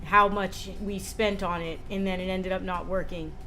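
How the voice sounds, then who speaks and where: Amid music in the background and audible room echo, a woman with an American accent speaks at a medium pitch. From United States. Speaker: streamer. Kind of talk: casual chat. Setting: livestream. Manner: fast.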